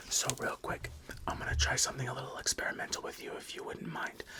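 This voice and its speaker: A man is whispering. Noticeable background noise can be heard behind him. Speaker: ASMR creator playing a therapist. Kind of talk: ASMR roleplay. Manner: soft-spoken, whispering.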